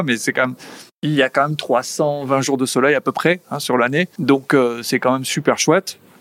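A man's medium-pitched voice at a moderate pace, with a dry, close sound and no echo. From French Basque Country, Saint-Jean-de-Luz. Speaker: business executive. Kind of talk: interview. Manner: energetic.

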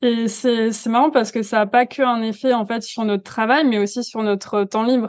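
The woman's pitch is fairly high and her intonation monotone and flat. The background is quiet. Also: moderate pace, hardly any pauses. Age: 20s. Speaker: digital wellbeing coach. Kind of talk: podcast interview.

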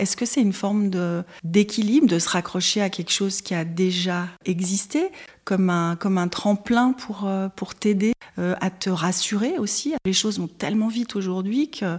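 A woman speaks at a moderate pace and medium pitch, somewhat breathy, with ordinary pitch variation. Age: 50s. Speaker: secondhand shop owner. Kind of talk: interview testimony.

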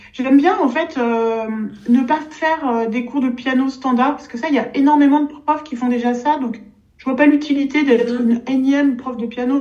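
Against noticeable background noise, a woman with a high pitch speaks at a moderate pace with fairly even intonation. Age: 60s. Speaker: pianist and piano teacher. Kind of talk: casual interview chat.

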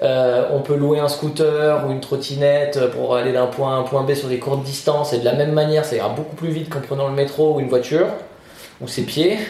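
A man's fairly high, monotone, flat voice at a fairly quick pace, with audible room echo and noticeable background noise. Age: 30s. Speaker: interviewee, job seeker. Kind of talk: interview. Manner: halting.

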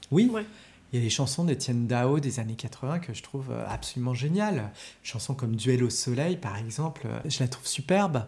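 With lively intonation, the somewhat breathy voice moves at a moderate pace. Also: man, medium pitch for a man. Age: 40s. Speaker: film studies teacher. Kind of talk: casual chat. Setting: at his home.

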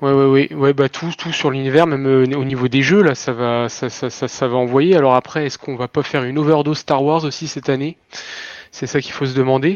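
Delivered at a fairly quick pace with fairly even intonation, this is a normal speaking voice. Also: man, fairly high pitch for a man. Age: 30s. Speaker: retail worker, gaming fan. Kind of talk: casual chat.

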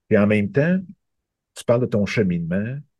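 The voice has a Quebec accent and a dark, mellow tone. Its pitch variation is ordinary. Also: man. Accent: Québécois French. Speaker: interviewer. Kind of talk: interview.

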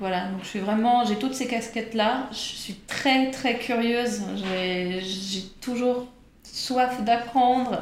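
Speaking at a very slow pace in a fairly high pitch, a woman keeps her intonation fairly even amid noticeable background noise and audible room echo. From Switzerland, Geneva. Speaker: improv actor and singer. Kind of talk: interview.

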